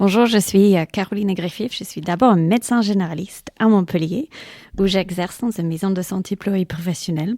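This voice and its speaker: A woman speaks at a fairly quick pace with an English accent, her medium pitch carrying ordinary variation. Her tone is dark and mellow, and the sound is dry and close with no echo. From England. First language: English (speaking French). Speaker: general practitioner and medical lecturer. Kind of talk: interview. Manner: hesitant, with fillers.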